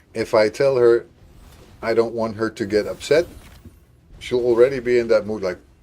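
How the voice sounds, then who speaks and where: Speaking at a moderate pace with long, frequent pauses, a man uses a medium pitch, a dark, mellow tone and fairly even intonation. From Netherlands. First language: Dutch. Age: 50s. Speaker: gaming livestreamer. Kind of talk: casual chat. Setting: live stream.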